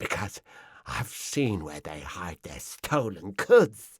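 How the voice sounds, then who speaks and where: Putting on a character voice, a man speaks at a very slow pace with a fairly low pitch and very wide pitch swings. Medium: read story. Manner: fawning, wheedling.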